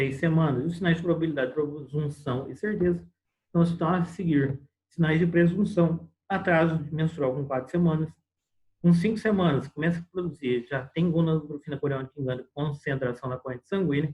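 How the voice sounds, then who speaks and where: Pitched fairly high, a man talks fairly quickly, his pitch varying in an ordinary way. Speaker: medical lecturer (obstetrics). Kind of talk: lecture. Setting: online class on video call. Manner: fast.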